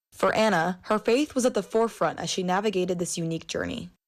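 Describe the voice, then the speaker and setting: Vocal fry marks this woman's medium-pitched voice, which has ordinary pitch variation. She talks very fast over a quiet background. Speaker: news reporter. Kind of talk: news feature voiceover.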